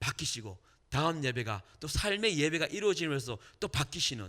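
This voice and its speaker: A man's fairly high, bright and sharp voice with very wide pitch swings at a moderate pace, in a very clean recording with a silent background. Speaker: evangelist and worship leader, radio host. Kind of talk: testimony and sermon. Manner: animated, engages audience.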